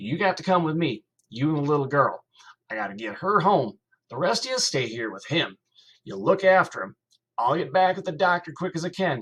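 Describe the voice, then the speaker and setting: A man puts on a gruff, wheezy character voice at a fairly high pitch. He talks at a fairly quick pace with big swings in loudness. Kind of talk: rural folksy dialect. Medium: read story. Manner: gruff, blustering.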